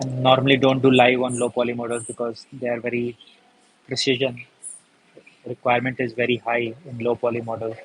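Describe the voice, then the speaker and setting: A man speaks at a medium pitch in a monotone with flat intonation. His pauses are long and frequent. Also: fairly quick pace. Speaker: paper craft tutor. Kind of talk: live craft tutorial.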